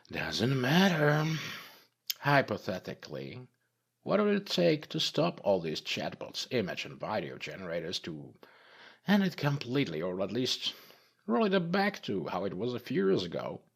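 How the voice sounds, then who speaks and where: A put-on character voice rumbles along at a moderate pace with very wide pitch swings. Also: man, medium pitch for a man. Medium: read story. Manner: grumbling, profane.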